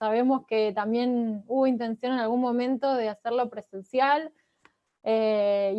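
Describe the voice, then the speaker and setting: Fairly slow and fairly even in intonation, a woman speaks with a dark, mellow tone at a fairly high pitch. The sound is dry and close, with no echo. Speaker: researcher and political scientist. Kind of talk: academic lecture. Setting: video call.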